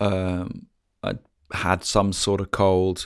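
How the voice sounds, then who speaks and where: Recorded very cleanly against a silent background, a man speaks in a fairly low pitch. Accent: English. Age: 40s. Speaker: musician and podcaster. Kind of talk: personal story monologue. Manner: hesitant, many fillers.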